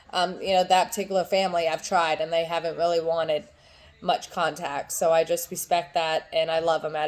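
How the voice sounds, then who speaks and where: A woman's fairly low voice at a fairly quick pace, flat and monotone in intonation. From rural US, small country town. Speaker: vlogger. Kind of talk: personal vlog. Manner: hesitant, many ums.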